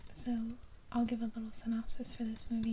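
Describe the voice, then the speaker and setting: The speaker is soft-spoken, with an American accent. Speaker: ASMR creator. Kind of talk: ASMR soft-spoken show-and-tell.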